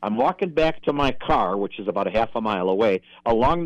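Lively intonation marks a man with a Minnesota accent speaking at a moderate pace in a dry, close sound with no echo. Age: 70s. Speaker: deer hunter and senior softball player. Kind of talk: casual chat, storytelling.

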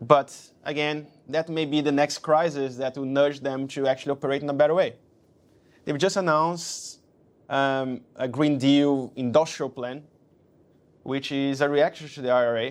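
A man with a Portuguese accent and a fairly high pitch, flat monotone intonation, a moderate pace and long, frequent pauses. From Brazil. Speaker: investment banker. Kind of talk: interview. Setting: office.

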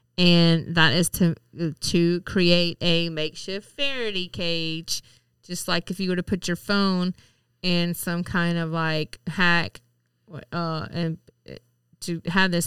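This woman speaks with a Southern US accent, her pitch fairly low and her intonation fairly even. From Mississippi. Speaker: podcast co-host. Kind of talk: casual chat.

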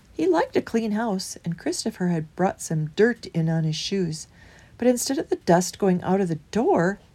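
Reading aloud in a natural voice, with intonation that is lively

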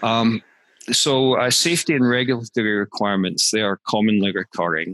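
This man has a plain, everyday voice at medium pitch, with ordinary pitch variation and very even loudness at a fairly quick pace. The sound is dry and close with no echo, over a quiet background. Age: 50s. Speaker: management consultant and author. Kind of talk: interview.

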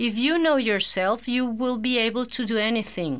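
A woman with a Spanish accent, fairly high in pitch, at a fairly slow pace. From Venezuela, Caracas. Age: 40s. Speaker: teacher and translator, single mother. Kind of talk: casual interview.

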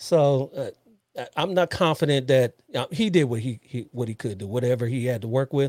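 A man with an American accent speaks in an unremarkable speaking voice at a moderate pace and medium pitch with ordinary pitch variation, the sound dry and close with no echo on a very clean recording with a silent background. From US West Coast, Los Angeles area. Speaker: police officer and podcast host. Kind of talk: casual interview chat.

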